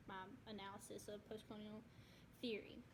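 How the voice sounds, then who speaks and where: The intonation is fairly even, and audible room echo carries through the recording. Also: woman. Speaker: student. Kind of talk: class presentation. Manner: soft-spoken.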